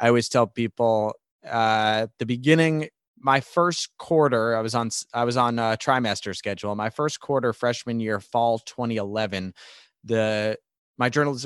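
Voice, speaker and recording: In a dry, close sound with no echo and a quiet background, a man talks at moderate pace. His medium-pitched, unremarkable speaking voice has lively intonation. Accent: American. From New York. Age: 20s. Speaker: sports broadcaster. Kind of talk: interview.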